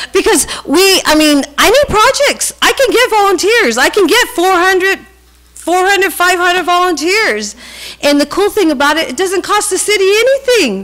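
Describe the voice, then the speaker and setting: Her voice sits at an extremely high pitch, with lively intonation and an animated tone. The woman's loudness stays very even. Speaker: community volunteer organizer. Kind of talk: public comment at council meeting. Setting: city council meeting. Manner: fast.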